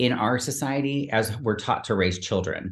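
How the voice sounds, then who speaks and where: Audible room echo carries a man's medium-pitched voice. He speaks fairly slowly with ordinary pitch variation. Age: 50s. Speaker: performance coach and personal trainer. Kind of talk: casual chat. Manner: halting.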